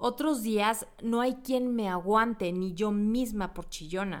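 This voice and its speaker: Very slow speech with ordinary pitch variation on a very clean recording with a silent background. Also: woman. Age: 40s. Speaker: psychologist and podcast host. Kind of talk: reflective monologue.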